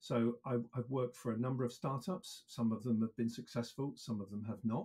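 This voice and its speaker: The voice is somewhat breathy with a dark, mellow tone. It moves at a fairly quick pace. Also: man. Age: 60s. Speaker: EV industry consultant. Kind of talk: interview.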